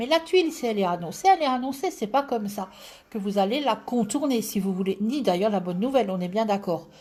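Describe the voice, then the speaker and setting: With an Alsatian accent, a woman speaks fairly quickly at a fairly high pitch, her pitch swinging very widely. Her tone is dark and mellow and somewhat breathy. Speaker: tarot reader. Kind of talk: live stream chat.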